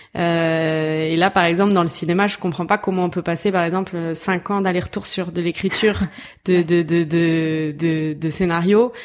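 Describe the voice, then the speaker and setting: In an ordinary speaking voice, the speaker goes at a fairly slow pace with fairly even intonation. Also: woman, fairly low pitch for a woman. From southern France, Toulouse. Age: 20s. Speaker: filmmaker and actress. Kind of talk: casual chat.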